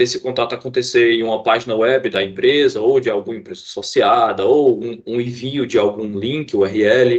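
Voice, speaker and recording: Lively intonation carries the words along at a moderate pace. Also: man. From Fortaleza, Ceará, Brazil. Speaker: IT student and trainee. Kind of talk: team project presentation. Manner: halting, with frequent repetitions and fillers.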